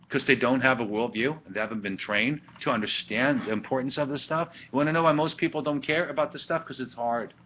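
A man talks at a fast pace and medium pitch with few pauses. His pitch varies in an ordinary way.

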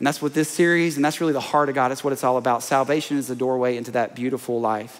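Male speech in an American accent, its pitch varying in an ordinary way. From US South, small-town Alabama. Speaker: pastor. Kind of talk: sermon. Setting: stage with audience. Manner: animated, playful crowd-working with comic asides mid-sermon; energetic, repetitive emphatic delivery with call-and-response. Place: church.

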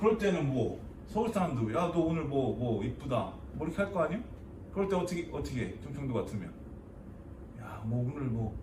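Spoken with a Chungcheong accent at a fairly quick pace, the speech has very wide pitch swings and long, frequent pauses against noticeable background noise. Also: man, fairly high pitch for a man. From Chungcheong Province, South Korea. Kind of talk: comedic dialect lesson.

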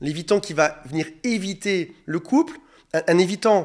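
Lively intonation marks this man's high-pitched voice. The background is quiet. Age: 40s. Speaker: relationship coach. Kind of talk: monologue video advice talk. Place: home room. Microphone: studio mic.

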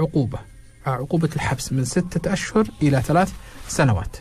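A man speaks at a fairly slow pace with lively intonation. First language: Arabic (speaking Hindi). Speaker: police officer, drug enforcement media and awareness; radio guest or host. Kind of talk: interview. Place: studio. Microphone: studio mic.

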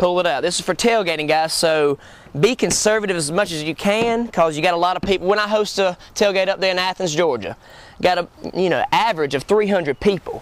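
A man speaks at a high pitch with ordinary pitch variation. The sound is dry, with no echo. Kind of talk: cooking tutorial. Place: garden.

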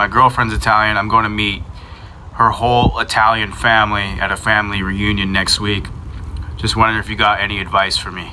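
A man with an American accent talks at a fairly quick pace in a fairly low pitch. His intonation is flat and monotone, with noticeable background noise behind him. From US Midwest. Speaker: podcast producer. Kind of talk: casual chat.

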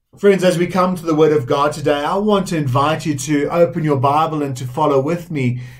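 A man's fairly high-pitched, somewhat breathy voice. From South Africa. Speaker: Methodist minister. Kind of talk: sermon. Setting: recorded online church service. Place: home room.

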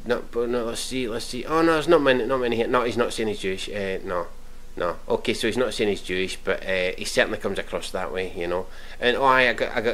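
A very fast-talking man with a Scottish accent, in a room with audible echo. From Scotland. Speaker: YouTube commentator. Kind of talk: reaction video rant.

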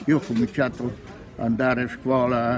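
A man's fairly even intonation over noticeable background noise. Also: dry sound with no echo. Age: 80s+. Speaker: retired train driver. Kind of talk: interview answer. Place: market. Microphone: phone near.

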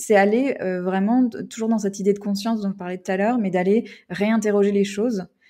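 Against a silent background in a very clean recording, a woman talks very fast with a medium pitch, a dark, mellow tone and ordinary pitch variation. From United States. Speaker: podcaster and workplace culture consultant. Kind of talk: interview. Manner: halting.

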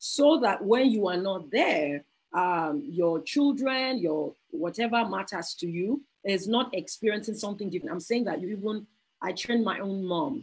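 A woman speaks with a medium pitch and lively intonation. Her voice is somewhat breathy. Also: moderate pace. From Nigeria. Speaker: pastor and conference speaker. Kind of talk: sermon-style talk. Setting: video call.

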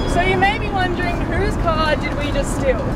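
Over music in the background, the speech moves at a moderate pace in a dry sound with no echo. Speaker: sailing vlogger. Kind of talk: casual vlog chat. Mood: cheerful, joking. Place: car. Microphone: phone near.

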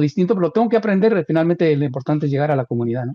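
A man talking at a very fast pace, with a quiet background. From Guatemala. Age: 60s. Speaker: radio host; radio host, interview guest. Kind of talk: casual interview. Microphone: video call.

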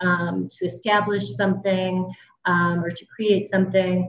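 A woman talks at a fairly slow pace, her voice somewhat breathy. Her intonation is fairly even, and room echo is audible. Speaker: social work professor. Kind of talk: panel discussion. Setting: video call. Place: home room. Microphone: video call.

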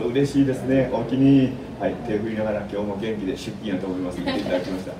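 A man speaks very fast with a Kansai accent. Background noise is noticeable. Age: 80s+. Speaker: radio host. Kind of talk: community radio talk show. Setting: radio studio. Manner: fast, chatty. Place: studio.

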